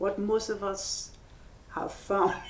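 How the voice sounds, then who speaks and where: Medium pitch from a woman, with audible room echo and noticeable background noise. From Trinidad. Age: old. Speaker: composer and musician. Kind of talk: onstage interview conversation. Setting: gallery with live audience.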